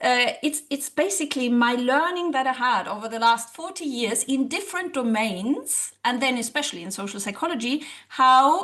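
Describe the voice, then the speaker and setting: Speaking with a German accent, a woman uses a high pitch, a bright, sharp tone and lively intonation. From Germany. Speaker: social psychologist and language teacher. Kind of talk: interview.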